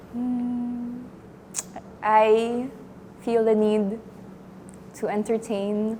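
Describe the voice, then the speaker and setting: A woman talks at a very slow pace in a fairly high, flat monotone, with audible echo from the room. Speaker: acting student. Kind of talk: acting exercise, spoken awareness. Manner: halting; pitch rising.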